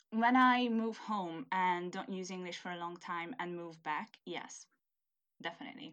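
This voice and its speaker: In a very clean recording with a silent background, a woman speaks with a Hungarian accent. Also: medium pitch for a woman, ordinary pitch variation, moderate pace. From Hungary. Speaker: university student, international student. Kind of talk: casual interview chat.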